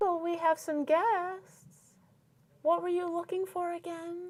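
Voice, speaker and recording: Putting on a squeaky character voice, a woman talks at a fairly slow pace in an extremely high pitch. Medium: actual play. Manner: calm, even.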